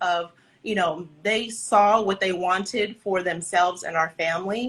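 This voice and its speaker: The tone is bright and sharp, with ordinary pitch variation. It moves along at a moderate pace. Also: woman. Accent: Californian. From Southern California, Santa Ana. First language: Spanish. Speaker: dance company director. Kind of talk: interview.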